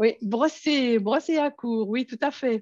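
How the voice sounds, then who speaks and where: With a Belgian accent, a woman speaks at a fairly high pitch with ordinary pitch variation in a dry, close sound with no echo against a quiet background. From Belgium. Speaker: educational technology trainer. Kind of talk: conference workshop presentation. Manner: hesitant, many fillers.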